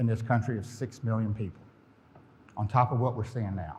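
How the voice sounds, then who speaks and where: A man talks in a Southern US accent. Audible room echo surrounds his voice. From US South, Florida Panhandle (Pensacola). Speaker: company president, conference speaker. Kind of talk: conference presentation. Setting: stage with audience.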